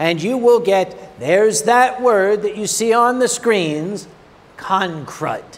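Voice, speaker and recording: Speaking at a very slow pace, a man with a high-pitched voice comes through over noticeable background noise. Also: ordinary pitch variation. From North America. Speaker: convention panel speaker. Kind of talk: convention panel talk. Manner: animated.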